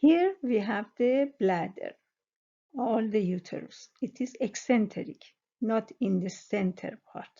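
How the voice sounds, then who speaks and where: A woman with a non-native accent speaks at a very slow pace in a fairly high pitch. Her voice is somewhat breathy and her intonation lively. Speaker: sonography exam tutor. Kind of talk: educational tutorial explanation. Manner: hesitant, many fillers.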